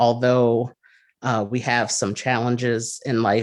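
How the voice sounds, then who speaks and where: A man with an American accent, medium pitch, and a quiet background. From New Jersey. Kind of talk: interview. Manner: hesitant, many fillers.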